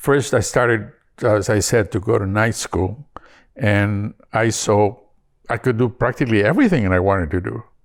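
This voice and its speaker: In a Spanish accent, a man with a fairly low pitch and ordinary pitch variation speaks at a moderate pace on a very clean recording with a silent background. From northern Mexico, Parral, Chihuahua. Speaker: immigrant interviewee. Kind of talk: interview. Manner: halting, many fillers.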